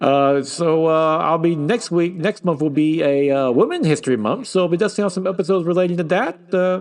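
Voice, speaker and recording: A man with a high pitch at a fairly quick pace, very even in loudness, with ordinary pitch variation. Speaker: podcast host. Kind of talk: casual podcast monologue. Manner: fast; halting.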